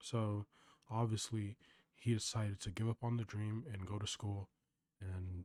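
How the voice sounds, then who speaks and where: Soft-spoken and somewhat breathy, a man talks with monotone, flat intonation at a fairly low pitch. The sound is dry and close, with no echo. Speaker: vlogger. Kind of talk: casual monologue.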